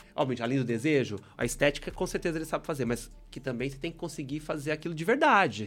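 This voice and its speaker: A man speaks very fast in a fairly high voice. The recording is very clean, with a silent background. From southern Minas Gerais, Brazil. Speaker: fashion professional. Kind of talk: podcast interview.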